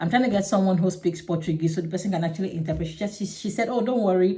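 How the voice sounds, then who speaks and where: A woman speaks with a dark, mellow tone, a fairly low pitch and a somewhat breathy quality. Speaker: vlogger. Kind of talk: casual vlog monologue. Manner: fast; halting.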